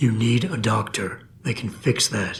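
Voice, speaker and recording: Using a put-on character voice, a man speaks raspy and calm at a medium pitch and a fairly slow pace. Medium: video game. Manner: low, calm, measured.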